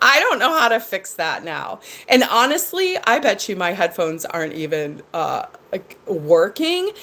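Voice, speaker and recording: Loud and medium-pitched, a woman's voice makes very wide pitch swings over noticeable background noise. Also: moderate pace. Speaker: livestreamer. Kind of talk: casual chat. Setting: live stream.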